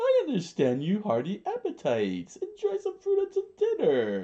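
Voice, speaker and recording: Putting on a character voice, a man speaks at a moderate pace with an extremely high pitch. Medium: read story. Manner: hearty, booming.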